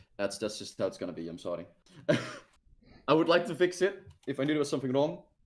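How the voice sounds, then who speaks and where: A man with a Dutch accent talks at a very fast pace and fairly high pitch, with vocal fry. His pitch swings very widely, his loudness shifts a lot, and long pauses come often. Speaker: game streamer hosting multiplayer match. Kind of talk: casual gaming chat. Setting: online voice chat stream.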